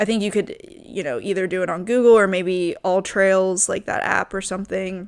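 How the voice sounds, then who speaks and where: A woman speaks with an American accent in a normal speaking voice, at medium pitch and a moderate pace, with fairly even intonation. She hardly pauses, and the recording is very clean with a silent background. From US South, Richmond, Virginia. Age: 20s. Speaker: podcast host. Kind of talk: casual monologue. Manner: casual, many fillers.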